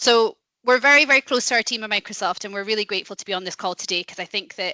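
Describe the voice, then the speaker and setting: With a Scottish accent, a woman talks at a very fast pace in a bright, sharp tone, the sound dry and close with no echo. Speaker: company head of industry sector, webinar presenter. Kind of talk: business webinar presentation.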